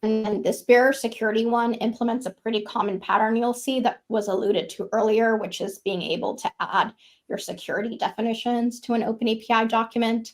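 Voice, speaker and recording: In a raspy, put-on character voice, the speaker goes at a fairly quick pace with hardly any pauses and fairly even intonation. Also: woman, fairly high pitch for a woman. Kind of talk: technical presentation. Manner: talking very fast.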